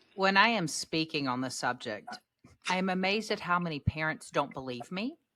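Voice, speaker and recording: A woman speaks loudly at a fairly quick pace, fairly low in pitch yet bright and sharp in tone. Her delivery is animated, with very wide pitch swings. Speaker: podcast host and parenting speaker. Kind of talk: casual chat. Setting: video call.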